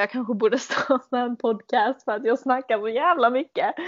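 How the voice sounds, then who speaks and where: A woman with an unremarkable speaking voice, at a moderate pace and with ordinary pitch variation. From Sweden, Malmö. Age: 20s. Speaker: podcast host, au pair. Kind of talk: casual chat.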